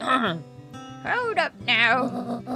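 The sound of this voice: A man performs a put-on character voice with clear music in the background.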